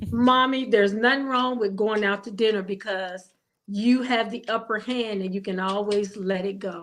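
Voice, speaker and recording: In an American accent, a woman speaks at a moderate pace with fairly high pitch and fairly even intonation, an ordinary speaking voice. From Ohio. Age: 60s. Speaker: widowed caregiver. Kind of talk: interview. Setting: live stream.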